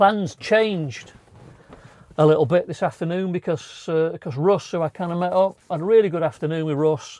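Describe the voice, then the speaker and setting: Speaking at a moderate pace, a man with a northern English accent has a fairly high pitch, on a very clean recording with a silent background. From northern England. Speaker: travel vlogger. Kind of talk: casual vlog to camera. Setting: inside campervan on clifftop. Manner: chatty, relaxed.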